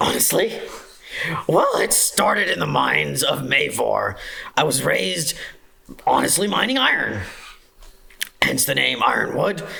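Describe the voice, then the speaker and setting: A woman performs a put-on character voice, raspy and gruff. She keeps a moderate pace. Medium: actual play.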